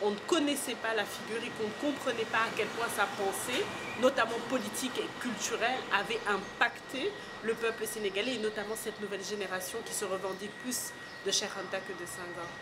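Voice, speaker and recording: A woman speaks with a strong Parisian accent at a moderate pace, her pitch fairly high with ordinary variation. Noticeable background noise and audible room echo fill the recording. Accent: thick Parisian French. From Senegal. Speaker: art curator. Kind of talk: interview.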